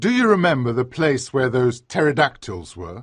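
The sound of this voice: Here a man performs a put-on character voice at a medium pitch with very wide swings. He keeps a moderate pace.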